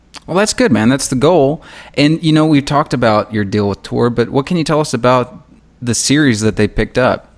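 An unremarkable speaking voice talks at a fairly quick pace. Its intonation is lively. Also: man, medium pitch for a man. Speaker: podcast host and author. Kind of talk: casual interview chat.

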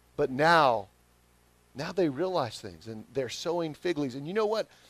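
Speaking with a Southern US accent, a man uses a fairly high pitch, lively intonation and a moderate pace. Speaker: pastor. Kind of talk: sermon.

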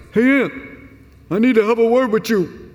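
A man performs a put-on character voice at an extremely high pitch. He moves along at a fairly quick pace.

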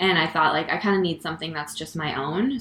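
With an American accent, a woman speaks in a very deep, low pitch, showing vocal fry and ordinary pitch variation. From Connecticut. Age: 20s. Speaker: stand-up comedian. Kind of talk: casual interview. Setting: her apartment.

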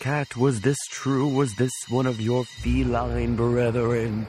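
Clear background noise surrounds a man doing a put-on character voice. It sits at medium pitch and moves at a fairly slow pace. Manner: spooky, dramatic.

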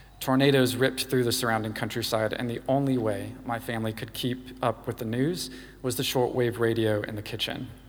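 Fairly quick, flat, monotone speech with audible room echo. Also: man, medium pitch for a man. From US South, Louisiana. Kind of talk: sermon.

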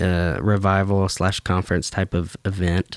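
The voice has an American accent and flat, monotone intonation, captured dry and close with no echo on a very clean recording with a silent background. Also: man. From US South, Baldwin County, Alabama. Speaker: worship pastor. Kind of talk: casual chat.

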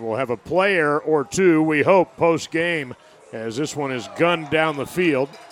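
With music in the background, a man talks fairly slowly at a fairly high pitch with ordinary pitch variation. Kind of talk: live sports commentary.

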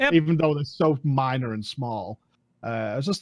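Speaking with a British accent, a man uses a fairly high pitch, ordinary pitch variation and a fairly quick pace. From UK. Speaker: gaming content creator. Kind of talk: casual chat.

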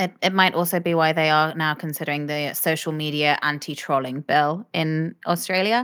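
A woman with a British accent speaks at a moderate pace in a very deep, low voice with ordinary pitch variation, recorded very cleanly against a silent background. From UK. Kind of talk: explanatory discussion.

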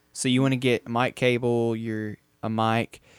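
The sound is dry and close, with no echo. A man speaks at a medium pitch in a monotone, flat intonation. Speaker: podcast host. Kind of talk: casual chat.

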